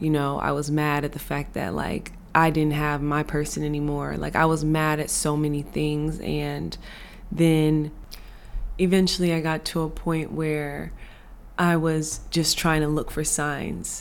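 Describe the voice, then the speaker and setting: Audible room echo surrounds a woman with an American accent who speaks at a fairly slow pace. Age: 20s. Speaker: podcast host. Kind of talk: personal reflection monologue. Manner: casual, many fillers.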